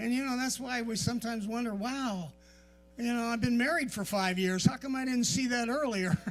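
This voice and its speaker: Fairly quick speech with audible room echo. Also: man, extremely high pitch for a man, ordinary pitch variation. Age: 60s. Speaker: pastor. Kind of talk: sermon. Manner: conversational, repetitive.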